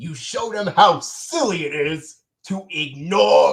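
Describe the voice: Over a quiet background, the speaker reads aloud plainly.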